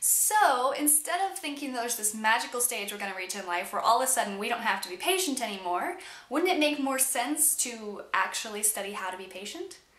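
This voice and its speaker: A woman talks at a fairly quick pace with a high pitch. Audible room echo surrounds her voice. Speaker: vlogger. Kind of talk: casual vlog chat.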